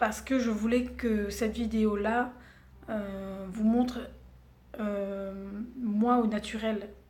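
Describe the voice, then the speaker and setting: Audible room echo surrounds a woman speaking at a very slow pace and a fairly high pitch, her tone dark and mellow and her intonation fairly even. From Réunion. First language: Réunion Creole (speaking French). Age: 30s. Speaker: beauty vlogger. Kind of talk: casual vlog introduction. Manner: hesitant, many fillers.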